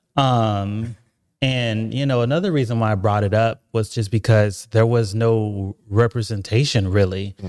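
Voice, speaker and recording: A man speaks at a fairly slow pace in a normal speaking voice, with medium pitch and fairly even intonation. The recording is very clean, with a silent background. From Oklahoma, moved around the US from age six. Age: 30s. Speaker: newspaper founder and CEO. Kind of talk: casual interview.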